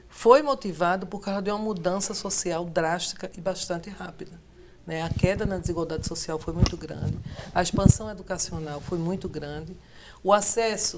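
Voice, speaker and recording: Woman with a Pernambuco accent, medium pitch, ordinary pitch variation and big swings in loudness, amid noticeable background noise. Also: moderate pace. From Pernambuco, Brazil. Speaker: sociologist, professor. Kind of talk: TV political debate.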